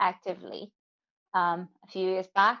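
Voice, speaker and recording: A woman speaks at a medium pitch. Behind her the background is quiet. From Brazil. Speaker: wildlife veterinarian. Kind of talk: casual interview chat. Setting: live video chat.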